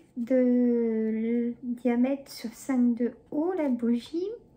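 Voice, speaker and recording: Noticeable background noise is present throughout. Over it, a woman talks in a high pitch. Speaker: YouTuber, shopping haul vlogger. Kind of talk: casual haul chat to camera. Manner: chatty, hesitant with many euh.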